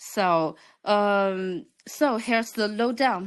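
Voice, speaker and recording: A woman with a Chinese accent speaks in a medium pitch with ordinary pitch variation. The background is quiet. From China. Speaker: crypto project representative. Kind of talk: project presentation.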